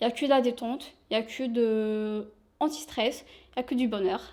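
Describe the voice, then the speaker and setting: A woman speaks at a high pitch. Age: 20s. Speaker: shop sales assistant. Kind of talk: interview.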